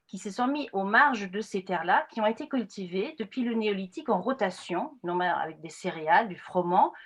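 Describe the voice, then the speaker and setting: A woman speaks at a moderate pace and medium pitch with lively intonation, hardly pausing at all. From northern Germany, Friesland. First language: Frisian/German (speaking French). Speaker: anthropologist. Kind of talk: lecture. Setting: video call. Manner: hesitant, many fillers.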